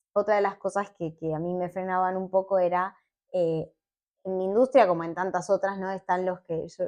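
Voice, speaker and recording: A woman with a medium pitch talks at a moderate pace in an ordinary speaking voice, keeping her intonation fairly even. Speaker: petroleum engineer and science communicator. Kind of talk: casual interview chat.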